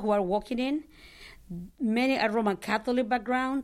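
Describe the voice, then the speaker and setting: On a very clean recording with a silent background, a woman with a Spanish accent speaks with ordinary pitch variation. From Nicaragua. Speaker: pastor and nurse. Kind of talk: interview.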